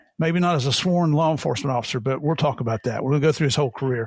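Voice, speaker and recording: A man with an American accent speaks in a somewhat breathy voice at a fairly high pitch. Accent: Southern, people call it funny. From Tennessee and West Virginia. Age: old. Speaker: podcast host, retired DEA agent. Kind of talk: casual interview chat. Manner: folksy, jovial.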